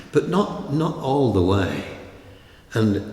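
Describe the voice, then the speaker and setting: Amid noticeable background noise and audible room echo, a man with a Yorkshire accent talks with lively intonation. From northern England, Yorkshire. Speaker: pastor. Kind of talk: sermon.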